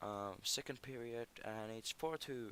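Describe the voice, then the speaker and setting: A man with a Finnish accent and fairly even intonation. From Finland. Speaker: gaming YouTuber. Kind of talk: gameplay commentary. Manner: halting.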